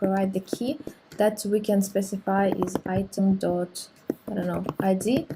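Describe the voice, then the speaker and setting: A woman speaks at a moderate pace in a medium pitch with fairly even intonation. Noticeable background noise can be heard behind her. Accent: non-native. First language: not English. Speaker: programming tutorial creator. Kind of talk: tutorial. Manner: hesitant, many fillers.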